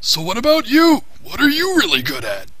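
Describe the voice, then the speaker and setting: A man puts on a character voice at a fairly quick pace. Noticeable background noise runs beneath him. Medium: fan dub. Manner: rambling, cranky.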